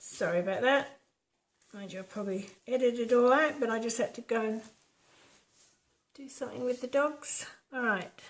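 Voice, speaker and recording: A woman's high voice at a moderate pace, with ordinary pitch variation, long, frequent pauses and big swings in loudness. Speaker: acrylic pouring artist. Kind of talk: tutorial. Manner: soft-spoken; quieter when concentrating.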